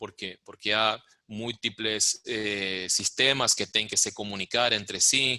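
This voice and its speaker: A man speaks at a very slow pace in a fairly low pitch, with a Spanish accent. His tone is bright and sharp, and his intonation stays monotone and flat. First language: Spanish (speaking Portuguese). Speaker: music rights manager. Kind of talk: lecture. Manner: halting.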